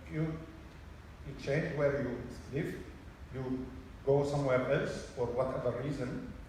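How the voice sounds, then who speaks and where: A man talks amid clearly audible background noise, with an echo from the room. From Syria, born in Damascus to Palestinian parents. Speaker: Palestinian community speaker. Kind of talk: public dialogue before audience. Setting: synagogue hall with audience.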